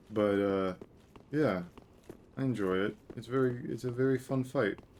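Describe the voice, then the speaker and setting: Soft-spoken male voice, medium pitch, ordinary pitch variation, moderate pace. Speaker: gaming streamer. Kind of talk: live gameplay commentary.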